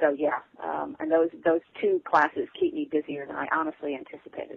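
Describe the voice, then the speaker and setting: Here a woman speaks with a Southern US accent. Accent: Southern US, noticeable. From Texas and Arkansas Ozarks. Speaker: author. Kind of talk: interview, casual chat.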